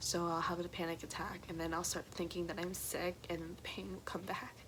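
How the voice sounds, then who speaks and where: Here a woman is speaking. She keeps a moderate pace. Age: young. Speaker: college student. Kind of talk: personal story told to camera.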